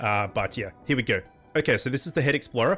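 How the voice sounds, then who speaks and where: Lively intonation marks this man's very fast speech, pitched fairly high for a man. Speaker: gaming youtuber. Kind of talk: gameplay commentary. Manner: fast reading of game text.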